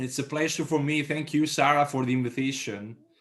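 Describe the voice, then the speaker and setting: This man speaks with a strong Italian accent at a moderate pace. His pitch is fairly high. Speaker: town mayor. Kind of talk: conference speech. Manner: halting.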